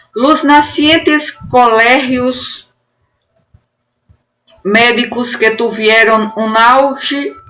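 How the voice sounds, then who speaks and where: A woman's fairly high voice with lively intonation, at a very slow pace, with music in the background. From Northeast Brazil. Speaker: university professor. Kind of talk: academic conference presentation.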